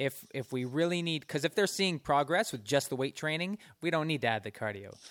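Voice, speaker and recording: In a very clean recording with a silent background, dry and close with no echo, a man uses an ordinary speaking voice with a fairly high pitch, lively intonation and a fairly quick pace. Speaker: radio host. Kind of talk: casual interview. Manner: casual, conversational with fillers.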